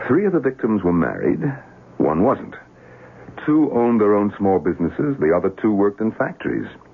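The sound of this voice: In a put-on character voice, a man speaks at a fairly low pitch with big pitch swings. There is vocal fry and a slightly husky edge, at a moderate pace.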